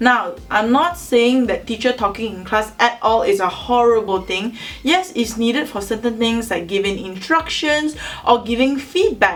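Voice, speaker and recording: A woman with a fairly high pitch speaks at a moderate pace with lively intonation amid noticeable background noise. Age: 20s. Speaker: university student. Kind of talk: educational talk to camera.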